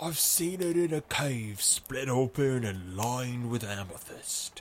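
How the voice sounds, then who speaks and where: A man puts on a husky character voice at medium pitch, speaking at a fairly slow pace. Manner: haunting, reflective.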